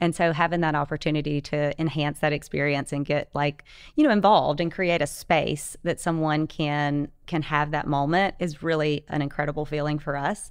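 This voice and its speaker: With an American accent, a woman speaks at a moderate pace in a very deep, low pitch, her intonation monotone and flat, hardly pausing, over a quiet background. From US South, North Louisiana. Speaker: real estate and hotel business owner. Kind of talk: casual chat.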